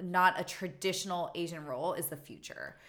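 A woman with an ordinary speaking voice, fairly low pitch and a moderate pace. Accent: American. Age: 30s. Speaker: circus performer and actress. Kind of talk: casual interview.

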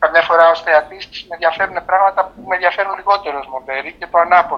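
A man speaks very fast in a high-pitched voice. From Greece. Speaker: film editor. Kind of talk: interview. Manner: halting.

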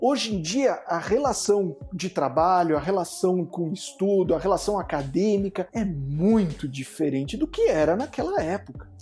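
Man with a São Paulo accent, high-pitched and lively in intonation, moderate pace with hardly any pauses, noticeable background noise. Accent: São Paulo (Mooca). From São Paulo, Mooca. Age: 40s. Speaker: software developer. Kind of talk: casual chat. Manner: halting.

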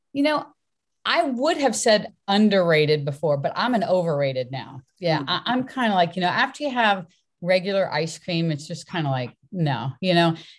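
A woman with an American accent, fairly low in pitch, with very wide pitch swings at a moderate pace on a very clean recording with a silent background. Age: 60s. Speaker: fitness coach and author. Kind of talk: casual interview chat. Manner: animated.

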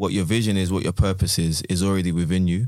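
A man with a London accent talks at a very fast pace in a very deep, low voice. The recording is very clean, with a silent background. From South London. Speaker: teacher. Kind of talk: casual chat.

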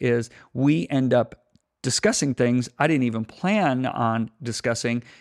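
Recorded dry and close with no echo, a man at medium pitch talks in a normal speaking voice. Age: 60s. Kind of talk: casual chat.

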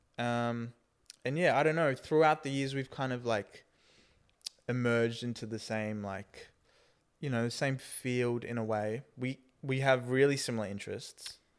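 Long, frequent pauses within a moderate pace and fairly even intonation. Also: man, medium pitch for a man. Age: 20s. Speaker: aspiring actor and vlogger. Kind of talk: casual chat.

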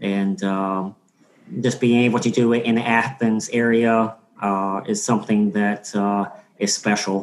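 A man with an American accent speaks at a medium pitch and a fairly slow pace, leaving long, frequent pauses. His intonation is monotone and flat, and his loudness stays very even. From Georgia, US. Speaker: MBA student, military veteran. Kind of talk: panel discussion.

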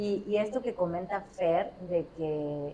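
Over noticeable background noise, a woman with a Mexican accent speaks fairly slowly at a fairly low pitch, with ordinary pitch variation. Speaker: podcast host. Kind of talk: casual chat.

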